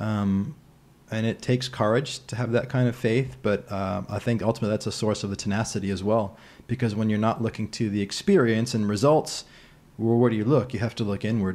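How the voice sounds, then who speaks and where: This man speaks in an unremarkable speaking voice at medium pitch. He has an American accent. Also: fairly quick pace, very clean recording, silent background. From US Northeast (New England). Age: 30s. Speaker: mindset coach. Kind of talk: casual interview conversation. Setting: in person at a kitchen table.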